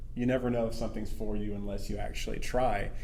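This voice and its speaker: Room echo is audible as a man talks at a fairly quick pace. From US South, small town. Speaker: financial advisor. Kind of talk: casual interview.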